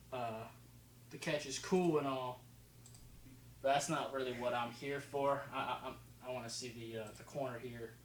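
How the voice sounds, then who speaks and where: In a room with audible echo, a man with an American accent and a medium pitch speaks at a moderate pace with fairly even intonation and long, frequent pauses. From New Jersey until age six, then elsewhere. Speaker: football film analysis youtuber. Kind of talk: casual video commentary. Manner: casual, halting with fillers.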